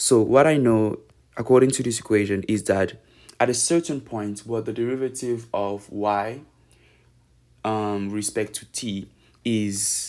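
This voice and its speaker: A man with a non-native accent at medium pitch, fairly slow pace, ordinary pitch variation and long, frequent pauses, in a very clean recording with a silent background. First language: not English. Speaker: math tutor. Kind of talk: tutorial. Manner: halting.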